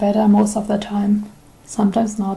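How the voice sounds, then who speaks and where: In a German accent, a woman speaks at a moderate pace with a medium pitch. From Germany. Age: 20s. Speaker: YouTuber with selective mutism. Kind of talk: personal testimony.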